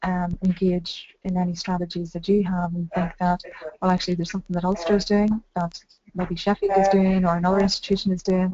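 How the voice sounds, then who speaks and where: A woman talks with a Northern Irish accent. Her intonation is flat and monotone. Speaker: university employability staff. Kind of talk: video conference discussion. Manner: fast.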